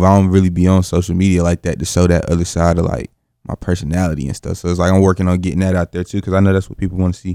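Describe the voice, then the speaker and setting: A man with a North Carolina accent and a very deep, low pitch, a dark, mellow tone and monotone, flat intonation at a very fast pace, dry and close with no echo, on a very clean recording with a silent background. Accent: Southern US (North Carolina). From North Carolina, Greensboro. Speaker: rapper. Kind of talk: interview. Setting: studio.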